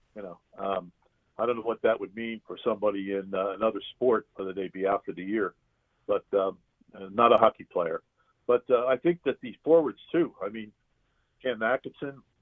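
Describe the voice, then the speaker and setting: Big swings in loudness mark a man's plain, everyday voice, which sits at a medium pitch with ordinary pitch variation and a moderate pace. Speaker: arena public address announcer. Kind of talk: interview answer, casual conversation about hockey. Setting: phone line.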